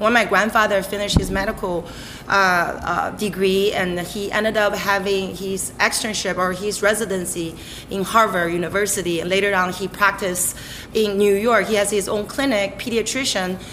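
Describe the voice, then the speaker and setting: A woman with a Chinese accent, monotone and flat, at a moderate pace amid noticeable background noise. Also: medium pitch for a woman. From Beijing, China. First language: Mandarin Chinese. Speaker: chef. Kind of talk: interview.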